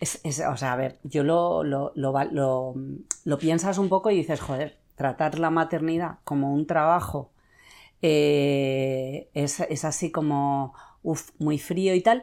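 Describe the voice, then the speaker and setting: A woman speaks at a very slow pace in a very deep, low pitch with a dark, mellow tone and ordinary pitch variation. The recording is very clean, the background silent. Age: 40s. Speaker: podcast host. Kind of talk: casual interview.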